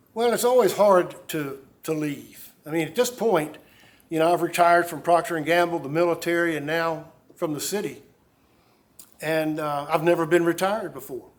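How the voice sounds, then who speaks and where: Audible room echo surrounds a man with a high voice. He speaks at a moderate pace with ordinary pitch variation and big swings in loudness. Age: 70s. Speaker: mayor. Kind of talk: press conference Q&A. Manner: halting.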